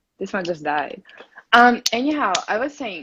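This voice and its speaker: This woman speaks with a Russian accent. Her pitch swings very widely. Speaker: video blogger. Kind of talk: casual interview.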